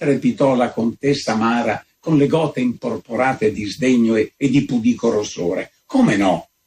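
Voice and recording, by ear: The background is quiet during this reading aloud in a natural voice.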